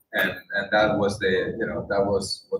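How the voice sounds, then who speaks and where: A man speaks at a moderate pace in a fairly low pitch, with fairly even intonation. There is audible echo from the room. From Spain. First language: Spanish. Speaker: documentary filmmaker and UN worker. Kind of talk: speech to an audience. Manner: halting, many fillers.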